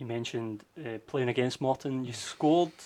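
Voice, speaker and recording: This is a man speaking at a moderate pace. His pitch is medium. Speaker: club media officer. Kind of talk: interviewer questions.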